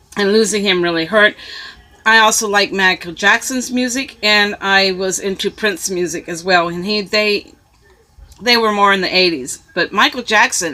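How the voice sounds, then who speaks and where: A woman with an American accent at a medium pitch and moderate pace, ordinary pitch variation, noticeable background noise. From US West (California, Arizona). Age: 60s. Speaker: YouTuber. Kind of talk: casual vlog. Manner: hesitant, many fillers.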